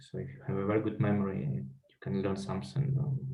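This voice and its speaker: Music plays in the background as a man speaks at a fairly low pitch, with audible room echo. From Belarus. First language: Russian. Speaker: life coach and trainer. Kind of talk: interview.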